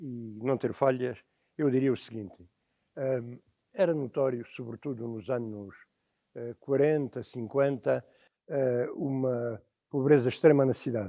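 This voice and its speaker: At a fairly slow pace, a man speaks with a dark, mellow tone, medium pitch and ordinary pitch variation. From Portugal, Alentejo (Estremoz). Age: 70s. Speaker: witness of the 1974 revolution. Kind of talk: oral history testimony. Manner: hesitant, many fillers.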